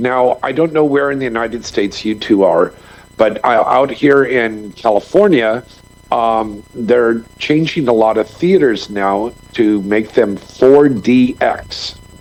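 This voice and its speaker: A man's medium-pitched voice with ordinary pitch variation, at a fairly slow pace amid noticeable background noise. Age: 60s. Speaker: filmmaker and former adult film performer. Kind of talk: podcast interview. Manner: energetic.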